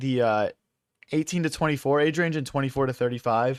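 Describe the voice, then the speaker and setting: On a very clean recording with a silent background and a dry, close sound with no echo, a man with an American accent speaks at a medium pitch and a fairly quick pace with fairly even intonation. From US Northeast, Philadelphia. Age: 20s. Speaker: chess streamer. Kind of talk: live stream commentary. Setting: live stream. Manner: casual, filler-heavy.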